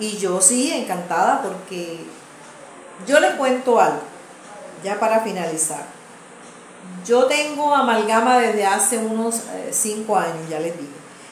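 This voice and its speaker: Through noticeable background noise and audible room echo, a woman speaks at a very slow pace, fairly high in pitch, with lively intonation. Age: 60s. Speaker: channel host and community advocate. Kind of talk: casual video monologue.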